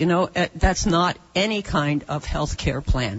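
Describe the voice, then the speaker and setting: A woman speaks at a moderate pace in an ordinary speaking voice, fairly low in pitch, with ordinary pitch variation. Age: 60s. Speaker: audience member at town hall. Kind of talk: public question at town hall. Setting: town hall meeting room.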